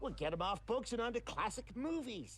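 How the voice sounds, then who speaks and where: Clear background noise runs under a cartoonish character voice. The delivery is fairly quick. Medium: puppet show. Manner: brash, profane.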